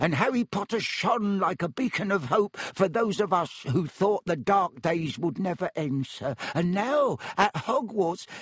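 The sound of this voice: A man puts on a shaky character voice with a slightly husky edge and a high pitch. His intonation is lively and his pace fairly slow with few pauses, in a dry, close sound with no echo.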